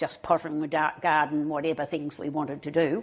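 A woman speaks in an Australian accent. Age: 80s+. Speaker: retiree and volunteer. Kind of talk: interview.

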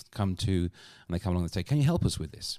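A man with a British accent in a very clean recording with a silent background. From UK. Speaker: customer experience consultant and comedian. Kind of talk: casual interview conversation.

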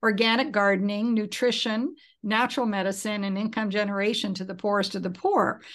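Against a quiet background, a woman with an unremarkable speaking voice talks at a moderate pace in a fairly high pitch. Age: 60s. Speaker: business founder and philanthropist. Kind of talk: casual interview.

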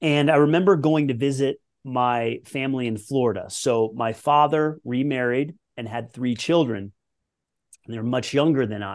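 This is an ordinary speaking voice from a man with a General American accent and a medium pitch. He speaks at a moderate pace with ordinary pitch variation over a quiet background. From Colorado, US. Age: 40s. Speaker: former pro tennis player and performance coach. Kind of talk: podcast interview.

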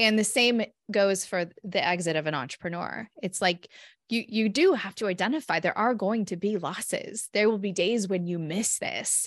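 The speaker has a West Coast accent and ordinary pitch variation. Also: woman, medium pitch for a woman, moderate pace. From California. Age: 40s. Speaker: psychologist and author. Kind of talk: podcast interview. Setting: remote call.

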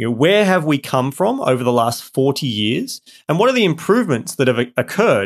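A man's medium-pitched, normal speaking voice, fairly quick with lively intonation, on a very clean recording with a silent background. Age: 30s. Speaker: podcast host. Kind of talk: scripted intro; interview.

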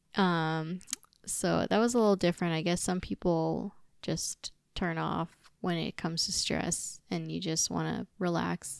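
In a very clean recording with a silent background and a dry, close sound with no echo, a woman with an American accent speaks at a fairly slow pace. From US, Chinese American family. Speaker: podcast co-host. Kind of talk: casual chat.

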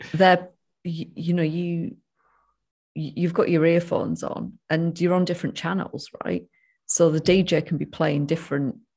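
A woman speaks at a moderate pace in a fairly low, dark and mellow voice with some breathiness. Her intonation stays fairly even, and the recording is very clean with a silent background. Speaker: podcast co-host, sobriety coach. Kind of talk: casual chat.

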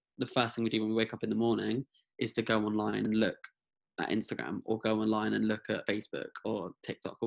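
Talking at a very fast pace, a man of medium pitch shows vocal fry, his sound dry and close with no echo over a quiet background. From France and England (Hertfordshire). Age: 20s. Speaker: mental health advocate. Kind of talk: interview. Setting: video call. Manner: halting.

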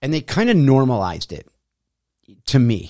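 A dark, mellow tone is heard on a very clean recording with a silent background. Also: man. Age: 50s. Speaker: fitness podcast host. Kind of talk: solo monologue podcast.

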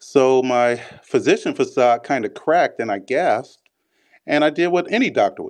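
Over a quiet background, a man with an American accent talks at a moderate pace. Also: big swings in loudness. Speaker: physician.

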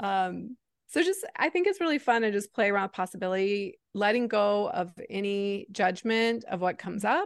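A woman in a normal speaking voice, at a moderate pace with ordinary pitch variation and hardly any pauses, in a dry, close sound with no echo and a quiet background. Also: medium pitch for a woman. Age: 40s. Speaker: reinvention coach and entrepreneur. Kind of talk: interview conversation.

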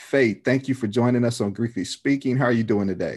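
A man with a medium pitch and an unremarkable speaking voice. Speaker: podcast host. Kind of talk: interview, casual chat.

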